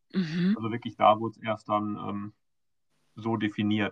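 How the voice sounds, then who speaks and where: A man with an ordinary speaking voice talks at a moderate pace, fairly low in pitch, with ordinary pitch variation. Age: 40s. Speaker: patient advocate, foundation board member. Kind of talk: casual interview.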